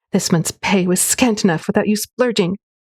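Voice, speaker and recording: In a put-on character voice, a female-sounding speaker growls at medium pitch and a moderate pace. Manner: growling, angry.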